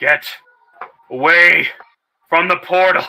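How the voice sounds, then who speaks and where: A man puts on a high-pitched character voice. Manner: barking an order.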